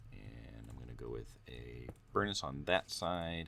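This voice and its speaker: This man talks with a bright, sharp tone, lively intonation and vocal fry. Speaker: gameplay youtuber. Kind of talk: casual gameplay commentary. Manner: hesitant, filler-heavy.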